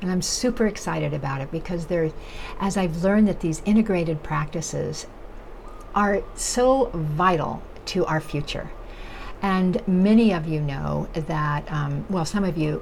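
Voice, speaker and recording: With noticeable background noise and audible room echo, a woman speaks at a moderate pace, with a fairly low pitch and ordinary pitch variation. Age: 70s. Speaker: nutrition educator and chef. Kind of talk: vlog monologue. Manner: halting, many fillers.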